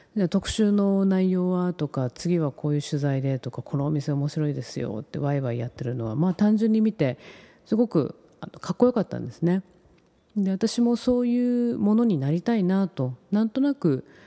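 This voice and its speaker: With a dark, mellow tone and fairly low pitch, a woman's voice moves in very wide pitch swings, recorded with a dry, close sound and no echo. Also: moderate pace. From Tokyo. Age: 40s. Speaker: podcast host, freelance writer. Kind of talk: casual monologue. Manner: polite, formal.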